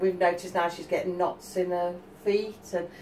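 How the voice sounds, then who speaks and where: Light background noise sits behind the woman's speech. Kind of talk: casual vlog chat. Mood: cheerful, laughing. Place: kitchen. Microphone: camera far.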